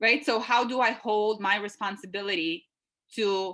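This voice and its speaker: A woman with a Lithuanian accent speaks at a medium pitch with ordinary pitch variation. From Lithuania, Klaipeda. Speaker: consultant, university alumna. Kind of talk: webinar interview.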